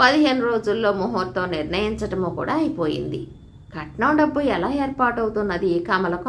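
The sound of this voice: Intonation is lively in this unforced reading voice.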